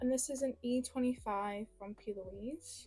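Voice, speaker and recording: A woman speaks quietly in a high voice with fairly even intonation. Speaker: makeup reviewer. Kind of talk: makeup tutorial review. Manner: quiet while concentrating; casual, many fillers.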